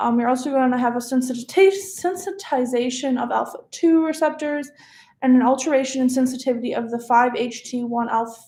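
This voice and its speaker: This woman's voice has a high pitch and a dark, mellow tone. She speaks at a fairly quick pace with ordinary pitch variation. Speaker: medical student. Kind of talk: study review tutorial. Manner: fast; casual, hesitant with fillers.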